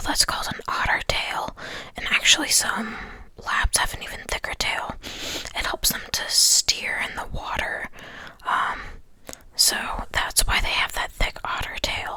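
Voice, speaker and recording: A man's relaxed whisper at a fairly slow pace, with noticeable background noise. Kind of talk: whispered ASMR ramble to camera. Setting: close-mic recording at home. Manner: whispered, soft-spoken, relaxed.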